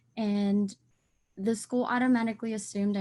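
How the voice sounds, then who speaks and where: Against a quiet background, a woman speaks at a moderate pace in a somewhat breathy voice with a dark, mellow tone and fairly even intonation. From US, Mexican-American Spanish-speaking household. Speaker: teacher in training. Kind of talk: class podcast discussion.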